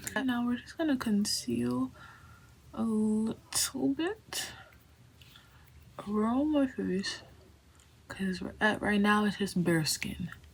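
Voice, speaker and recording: This woman talks at a very slow pace with long, frequent pauses and a somewhat breathy, medium-pitched voice. Her pitch swings very widely. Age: 20s. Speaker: art student and vlogger. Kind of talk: casual vlog, get ready with me. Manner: casual, chatty; soft, whispering.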